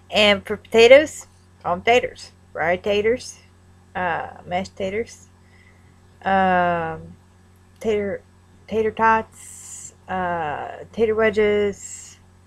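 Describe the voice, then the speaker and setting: A woman's very slow speech with long, frequent pauses, medium in pitch with ordinary variation, in a Northern Kentucky accent. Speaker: vlogger. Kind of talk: accent tag vlog. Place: home room. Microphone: webcam.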